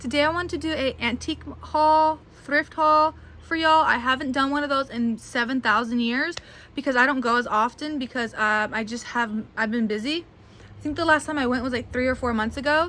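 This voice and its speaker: Her raised, projected voice is high-pitched and bright and sharp in tone, as this woman talks at a fairly quick pace with ordinary pitch variation. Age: 20s. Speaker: doll collector and video creator. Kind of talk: casual haul video monologue.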